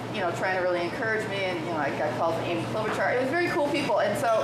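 Over loud background noise and audible room echo, a woman speaks at a very fast pace. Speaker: guest. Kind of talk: interview answer. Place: bar.

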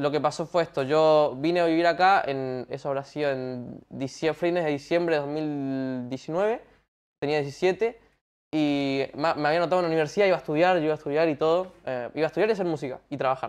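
With a fairly quick delivery, this man's pitch moves in an ordinary way. Nothing stirs in the background. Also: fairly high pitch for a man. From Paraguay, Asunción; Paraguay. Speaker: singer; guest. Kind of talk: casual interview chat. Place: studio.

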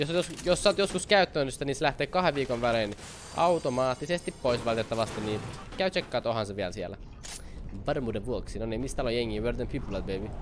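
Over faint background music, a man talks at a very fast pace in an animated tone with lively intonation. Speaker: gaming YouTuber. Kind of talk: live gameplay commentary. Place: home room.

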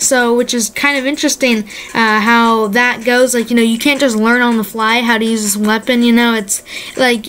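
A woman speaks in an enthusiastic tone at a fairly quick pace. Noticeable background noise runs behind her. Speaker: gaming YouTuber. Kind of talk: casual video commentary. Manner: casual, filler-heavy, enthusiastic.

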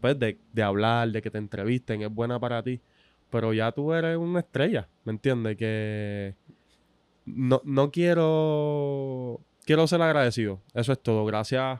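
The speaker has a Puerto Rican accent. The background is quiet, and the sound is dry with no echo. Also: man, medium pitch for a man, ordinary pitch variation, fairly slow pace. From Puerto Rico. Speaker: sports podcast host. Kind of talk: casual interview. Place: studio. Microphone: studio mic.

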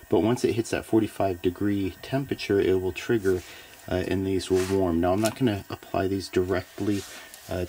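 Light background noise sits behind a man whose voice is very deep, low, and somewhat breathy. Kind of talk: tutorial. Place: workshop. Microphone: phone near.

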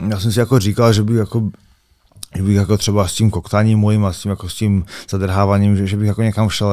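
Very fast and with monotone, flat intonation, a man talks at a fairly low pitch. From Czechia, Karviná. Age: 30s. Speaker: MMA fighter. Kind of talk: interview, casual chat. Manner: halting.

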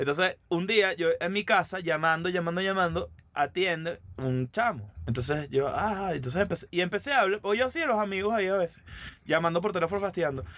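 A man with a high, fairly bright voice at a fairly quick pace. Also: ordinary pitch variation.

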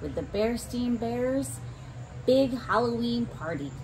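A woman is speaking. Noticeable background noise runs beneath her voice. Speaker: story reader for children. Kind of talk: children's story read-aloud. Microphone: phone near.

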